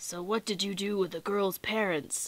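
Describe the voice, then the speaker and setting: A woman puts on a character voice, pitched in her medium range and delivered at a moderate speed. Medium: read story.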